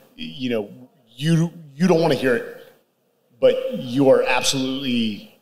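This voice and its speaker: There is audible room echo around this man's voice. He speaks at a moderate pace. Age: 40s. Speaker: podcast host. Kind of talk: casual interview. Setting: stage with live audience.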